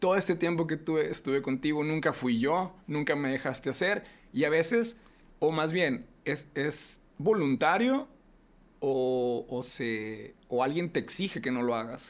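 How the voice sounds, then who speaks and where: A normal speaking voice with lively intonation at a fairly slow pace, in a very clean recording with a silent background. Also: man, fairly high pitch for a man. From Reynosa, northern Mexico. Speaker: podcast host. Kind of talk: casual chat.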